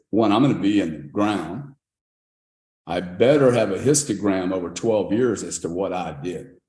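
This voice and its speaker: Audible room echo surrounds a man speaking at a moderate pace. His voice is fairly low, with a dark, mellow tone. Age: 60s. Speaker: crypto investor and entrepreneur. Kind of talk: podcast interview. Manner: animated.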